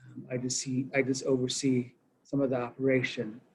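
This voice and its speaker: In a Southwestern US accent, a man speaks somewhat breathily at a fairly slow pace with monotone, flat intonation. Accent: Navajo-accented English. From Navajo Nation. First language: Navajo. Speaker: director of a church mission campus. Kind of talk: interview conversation. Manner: halting, many fillers and repetitions.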